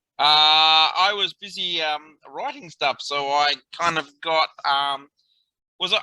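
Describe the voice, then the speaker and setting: With an Australian accent, a man speaks at a high pitch in a bright, sharp tone, with a dry, close sound and no echo. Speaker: coaching participant. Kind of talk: casual chat.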